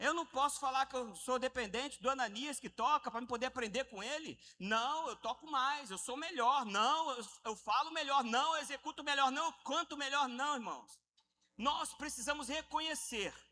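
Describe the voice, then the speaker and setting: A man's raised, projected voice at an extremely high pitch, with a bright, sharp tone, ordinary pitch variation and a moderate pace. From Rio de Janeiro, Brazil. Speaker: pastor. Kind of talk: sermon. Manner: animated.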